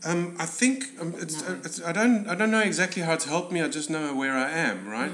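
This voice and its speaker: Over noticeable background noise and audible room echo, a man talks fairly quickly at a fairly high pitch. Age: 40s. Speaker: stunt and special effects coordinator. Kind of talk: casual chat.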